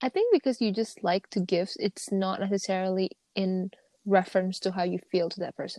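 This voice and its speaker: A woman with an Indonesian accent, a dark, mellow tone and medium pitch, fairly even intonation at a fairly quick pace, in a dry, close sound with no echo. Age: 20s. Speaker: podcast co-host. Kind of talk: casual chat.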